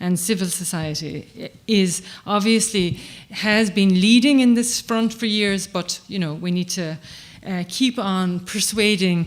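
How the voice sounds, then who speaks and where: A woman with an Irish accent and ordinary pitch variation. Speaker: human rights advocate. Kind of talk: conference speech. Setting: stage with audience. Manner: fast.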